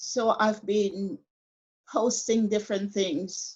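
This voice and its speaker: The voice is somewhat breathy, with fairly even intonation. The pace is very slow. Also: woman. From Caribbean. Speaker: retired staff nurse. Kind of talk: interview answer.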